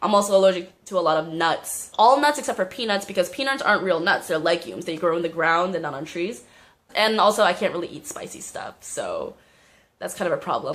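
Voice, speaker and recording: A woman with an American accent and medium pitch talks at a very fast pace in an animated tone with lively intonation. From US South, Atlanta. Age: 20s. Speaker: vlogger. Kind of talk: casual vlog monologue. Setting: art studio.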